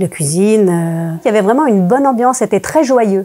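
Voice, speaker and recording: A woman talks fairly quickly at a medium pitch, her tone dark and mellow. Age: 60s. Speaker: former religious group member giving testimony. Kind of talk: testimony interview. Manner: hesitant, many fillers.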